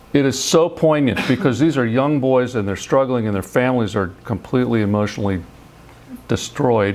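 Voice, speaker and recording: The speech moves at a fairly quick pace with ordinary pitch variation, and audible room echo surrounds it. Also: man, medium pitch for a man. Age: 60s. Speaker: scientist. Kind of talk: lecture. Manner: halting, with frequent repetitions.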